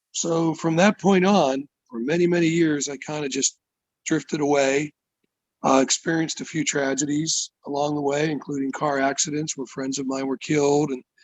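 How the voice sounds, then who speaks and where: A man with an American accent and a normal speaking voice, fairly high in pitch, at a moderate pace with fairly even intonation. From US, Pittsburgh, Pennsylvania. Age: 60s. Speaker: musician. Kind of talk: interview testimony.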